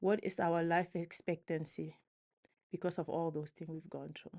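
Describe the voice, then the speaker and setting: Against a quiet background, a woman speaks at a moderate pace with fairly even intonation and a dark, mellow tone. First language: French. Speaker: physician and researcher. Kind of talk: interview.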